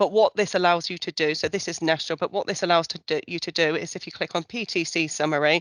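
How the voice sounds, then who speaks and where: Over a quiet background, a woman talks at a fairly quick pace and a fairly low pitch with fairly even intonation, the sound dry and close with no echo. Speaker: survey researcher presenting results. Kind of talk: online presentation walkthrough. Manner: fast; hesitant, many fillers.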